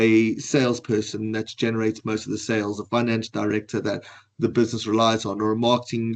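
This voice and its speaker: With a South African accent, a man speaks at a fairly quick pace. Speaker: financial advisor. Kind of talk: webinar presentation.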